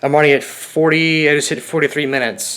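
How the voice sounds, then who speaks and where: A man talking at a very fast pace. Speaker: youtuber and streamer. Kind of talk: casual vlog monologue. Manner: halting, with stutters and pauses.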